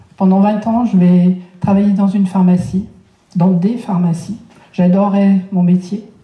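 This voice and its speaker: A woman with a medium pitch talks at a fairly slow pace amid audible room echo. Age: 60s. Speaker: speaker on personal development. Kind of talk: lecture. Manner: halting.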